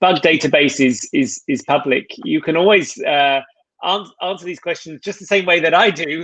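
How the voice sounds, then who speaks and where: A high-pitched man with an English accent, at a moderate pace, lively in intonation and with big swings in loudness. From England. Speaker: tech product manager. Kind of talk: live Q&A session. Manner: hesitant, many fillers.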